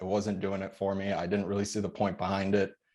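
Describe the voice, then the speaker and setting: A man at a fairly quick pace, over a quiet background. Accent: Chicago. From Chicago suburbs, US. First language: Polish. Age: 20s. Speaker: military veteran and real estate investor. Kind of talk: podcast interview. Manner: casual.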